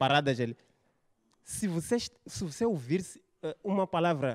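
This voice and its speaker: A man with a high pitch and very wide pitch swings, animated in tone, at a moderate pace over a quiet background. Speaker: stand-up comedian. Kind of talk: stand-up comedy. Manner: animated, stuttering and exaggerated storytelling. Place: studio. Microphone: handheld.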